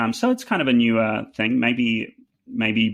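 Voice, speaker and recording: At a very slow pace, a man with a New Zealand accent speaks in a monotone, flat intonation at a medium pitch. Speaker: fiddle player. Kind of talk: casual chat. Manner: halting, many fillers.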